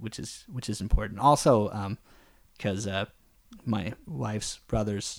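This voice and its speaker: A fairly low-pitched man with a Canadian accent and vocal fry, at a fairly slow pace with ordinary pitch variation. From Canada. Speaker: podcast co-host, father. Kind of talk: casual chat.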